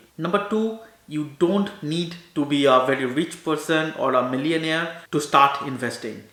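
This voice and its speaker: Speaking at a moderate pace, a man has a fairly high pitch and ordinary pitch variation. Audible room echo surrounds his voice. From India. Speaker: doctor and finance YouTuber; finance YouTuber. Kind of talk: informational talk to camera. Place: home room.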